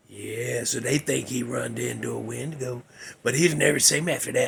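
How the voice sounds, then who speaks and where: A man does a raspy, put-on character voice in a Southern Appalachian accent at a moderate pace. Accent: rural Southern Appalachian. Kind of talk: campfire ghost story. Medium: solo performance. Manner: rambling, conversational, full of fillers.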